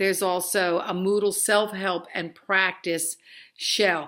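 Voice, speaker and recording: Here is a woman with a New Jersey accent and a medium pitch. Her tone is bright and sharp, her intonation monotone and flat. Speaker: college instructor. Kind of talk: online course introduction. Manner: conversational, with fillers.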